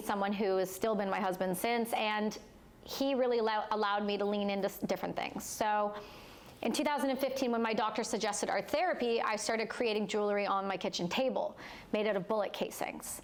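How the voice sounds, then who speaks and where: A woman with a plain, everyday voice speaks at a fairly quick pace, pitched fairly high with ordinary pitch variation. Her loudness stays very even throughout. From Canada, Ontario. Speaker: war veteran and entrepreneur. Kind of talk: personal testimony in live interview.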